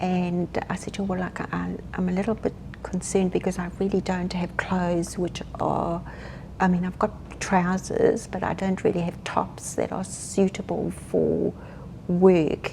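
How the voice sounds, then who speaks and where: A woman speaks with a South African accent. Her pace is fairly slow. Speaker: grief counsellor. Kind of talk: interview.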